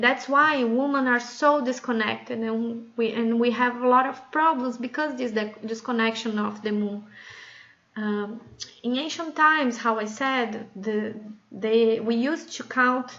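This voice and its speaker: Speaking in a non-native accent, a woman uses a fairly high pitch, fairly even intonation and a fairly slow pace. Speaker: women's circle facilitator. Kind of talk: casual talk to camera. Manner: hesitant, with fillers.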